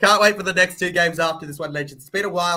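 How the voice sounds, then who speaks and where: A man speaks in an Australian accent with a bright, sharp tone. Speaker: sports livestream reactor. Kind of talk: live commentary. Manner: bored, flat delivery.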